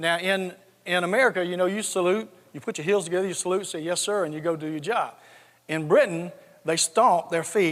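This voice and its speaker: A man's high-pitched voice with a slight Southern US accent, fairly even intonation and a fairly quick pace, on a very clean recording with a silent background. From US South, south Georgia. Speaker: retired army general, tech company CEO. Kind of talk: conference talk. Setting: stage with audience.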